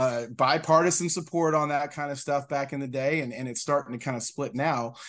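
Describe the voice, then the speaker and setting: A man with an American accent and a plain, everyday voice speaks at a fairly quick pace in a fairly high pitch. His intonation stays fairly even against a quiet background. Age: 40s. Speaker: state legislator, former teacher. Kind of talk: casual interview.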